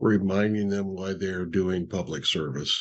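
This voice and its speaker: The man's voice sits at a fairly low pitch. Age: 60s. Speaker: nonprofit leader and attorney. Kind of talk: interview. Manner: halting, many fillers.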